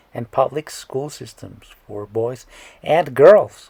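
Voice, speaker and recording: Speaking at a very slow pace, a man with a medium pitch, a dark, mellow tone, vocal fry and lively intonation is heard in a dry, close sound with no echo. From Mexico, northern border. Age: 30s. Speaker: comedic YouTuber. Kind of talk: comedic explainer monologue.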